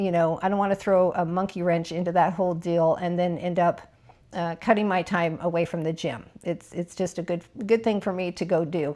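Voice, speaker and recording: Delivered at a fairly quick pace, a normal speaking voice keeps its intonation fairly even. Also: woman, fairly low pitch for a woman. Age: 50s. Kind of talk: casual talk to camera.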